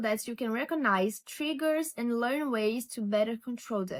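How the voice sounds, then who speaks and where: A woman's high voice with lively intonation and a non-native accent. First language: not English. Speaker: lifestyle vlogger. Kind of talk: casual vlog talk to camera. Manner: halting, with repetitions.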